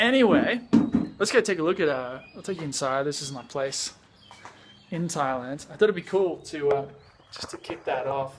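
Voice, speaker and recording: A man's fairly high voice with lively intonation, big swings in loudness and long, frequent pauses, over noticeable background noise. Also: moderate pace. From Australia, Sydney. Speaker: vlogger and music producer. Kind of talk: casual vlog. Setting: at home in Thailand. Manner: casual, many fillers.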